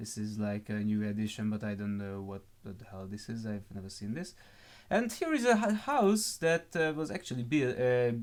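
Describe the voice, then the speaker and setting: This man, with a non-native accent, talks at a moderate pace with medium pitch, lively intonation and big swings in loudness. The recording is very clean with a silent background. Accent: terrible accent, non-native English. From Hungary. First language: Hungarian. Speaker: gaming YouTuber. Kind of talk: gameplay walkthrough, improvised. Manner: halting, many fillers.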